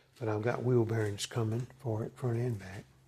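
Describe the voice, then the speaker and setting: A man talks in a medium pitch at a moderate pace, somewhat breathy. His intonation is monotone and flat. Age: 60s. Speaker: motorcycle hobbyist mechanic. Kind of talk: casual show-and-tell video. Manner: halting, with fillers.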